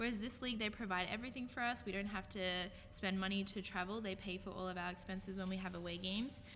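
Speaking very fast in an Australian accent, a woman keeps her medium pitch and fairly even intonation. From Australia, Brisbane. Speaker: professional women's football quarterback. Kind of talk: casual chat.

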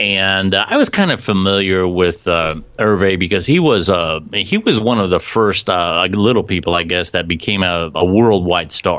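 The speech moves at a fairly slow pace with hardly any pauses, fairly even intonation and very even loudness. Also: man, very deep, low pitch for a man. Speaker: co-host. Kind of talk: casual chat.

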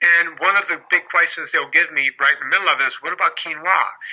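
A man speaks with a high pitch. His tone is bright and sharp. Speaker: fitness trainer and podcaster. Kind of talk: casual interview chat. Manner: animated, joking.

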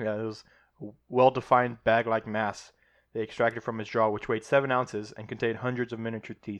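A man with a Midwestern American accent, medium pitch, flat monotone delivery and very fast pace, over a quiet background. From Ohio. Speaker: podcast co-host. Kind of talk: casual chat. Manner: trips over words.

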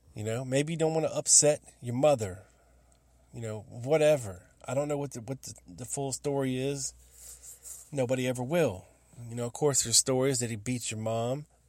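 A man's medium-pitched voice at a fairly quick pace, with ordinary pitch variation, big swings in loudness, and long, frequent pauses. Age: 40s. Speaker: podcast host. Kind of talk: casual monologue. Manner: animated.

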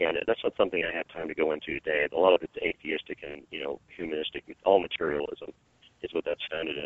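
A very fast-talking man with big swings in loudness. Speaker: evangelist. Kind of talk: interview.

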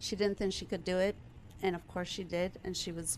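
Here is a woman with a Spanish accent at a medium pitch. Her intonation is flat and monotone. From Maryland, from age seven. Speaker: nonprofit executive director. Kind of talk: interview.

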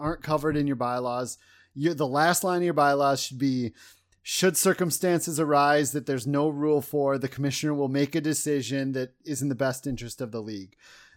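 The recording is very clean with a silent background, capturing an ordinary speaking voice and ordinary pitch variation. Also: man. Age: 30s. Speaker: fantasy football league organizer. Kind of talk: casual chat.

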